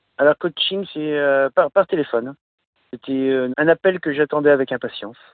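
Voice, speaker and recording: With ordinary pitch variation, this man's voice rides at a fairly high pitch. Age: 40s. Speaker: truck driver. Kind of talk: casual chat. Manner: halting.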